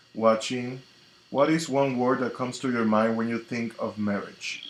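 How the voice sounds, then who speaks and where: The pace here is moderate. A Spanish accent shapes the speech. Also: man, medium pitch for a man, fairly even intonation. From Dominican Republic, Santiago. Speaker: tarot reader and spiritual coach. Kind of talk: live stream chat. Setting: live stream on social media.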